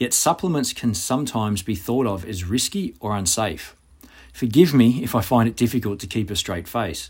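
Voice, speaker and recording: Somewhat breathy and at medium pitch, a man speaks at a moderate pace with lively intonation. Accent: Australian. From Australia. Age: 40s. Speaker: physical preparation coach. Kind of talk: reading aloud.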